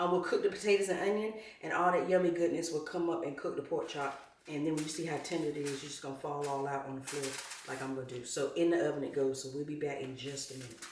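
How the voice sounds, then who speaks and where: With an American accent, a woman speaks at a very fast pace in a very deep, low pitch with ordinary pitch variation. The recording has audible room echo and noticeable background noise. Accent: country, proud of it. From North Carolina. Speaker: home cook, channel host. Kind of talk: cooking tutorial. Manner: casual, chatty.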